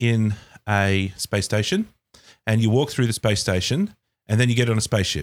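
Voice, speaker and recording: A man with an Australian accent speaks at a medium pitch. The sound is dry and close with no echo, in a very clean recording with a silent background. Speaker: podcast co-host. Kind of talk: casual chat.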